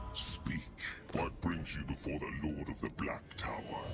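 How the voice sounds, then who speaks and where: A man performs a put-on character voice against loud background noise. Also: moderate pace. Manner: menacing, commanding.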